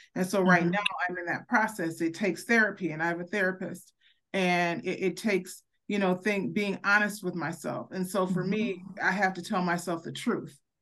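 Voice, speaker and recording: A woman with a normal speaking voice talks at a fairly quick pace and medium pitch, her intonation fairly even against a quiet background. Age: 50s. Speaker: podcast co-host. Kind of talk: casual chat.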